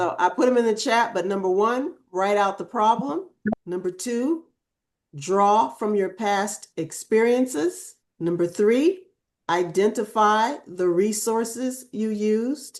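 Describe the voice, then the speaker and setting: Using a plain, everyday voice, a woman speaks at a fairly slow pace with lively intonation. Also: fairly high pitch for a woman. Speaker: workshop co-facilitator. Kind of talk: online group lesson.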